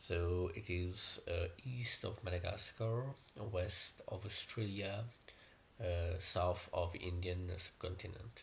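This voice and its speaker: A somewhat breathy man with a Mauritian accent, very deep and low in pitch, fairly even in intonation, at a very slow pace. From Mauritius. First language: Mauritian Creole. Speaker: YouTuber. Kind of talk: personal explainer video. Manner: hesitant, many fillers.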